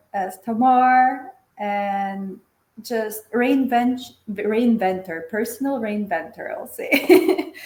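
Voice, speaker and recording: A woman speaks at a very slow pace with a Macedonian accent and a high pitch. Her loudness swings widely. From North Macedonia. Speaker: engineer and facilitator. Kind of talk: casual interview.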